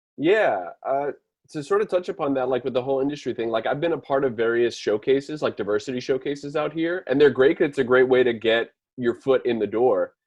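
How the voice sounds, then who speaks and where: The speaker talks at a fairly quick pace with a slight Miami accent. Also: man, fairly high pitch for a man, ordinary pitch variation. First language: Spanish. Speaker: writer. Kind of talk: panel discussion.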